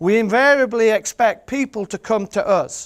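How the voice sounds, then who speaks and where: A man with a strong Yorkshire accent, passionate in tone, on a very clean recording with a silent background. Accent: thick Yorkshire. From Yorkshire, England. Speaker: birder, photographer and author. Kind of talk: seminar presentation. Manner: humorous, passionate.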